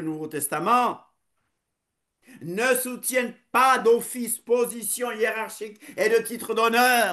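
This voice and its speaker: A man speaks at an extremely high pitch and a fairly slow pace, with a bright, sharp tone and ordinary pitch variation. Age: 60s. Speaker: preacher. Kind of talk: sermon.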